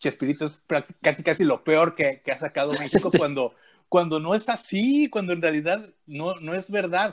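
This man talks at a high pitch. Behind him is total silence, and the recording is very clean. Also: ordinary pitch variation, moderate pace. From Guadalajara, Mexico. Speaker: podcast host. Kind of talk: casual chat.

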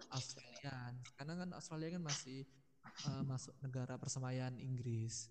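A man with an unremarkable speaking voice talks at a moderate pace, his medium pitch held in fairly even intonation. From Sidoarjo, East Java, Indonesia. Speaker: recent university graduate. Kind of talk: casual podcast interview.

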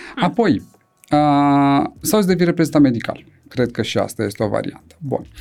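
Here is a man with a normal speaking voice, pitched fairly high. He moves at a moderate pace with lively intonation. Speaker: neurosurgeon. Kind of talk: casual chat.

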